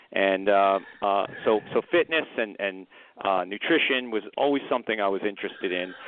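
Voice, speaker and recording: The speaker is a man with a fairly low pitch. He moves at a moderate pace with ordinary pitch variation. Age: 50s. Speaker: company founder and attorney. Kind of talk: casual interview. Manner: halting, many fillers.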